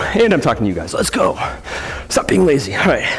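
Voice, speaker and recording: A man speaks at a fairly quick pace. Music plays faintly behind him. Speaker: fitness trainer. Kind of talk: workout instruction with counting. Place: gym.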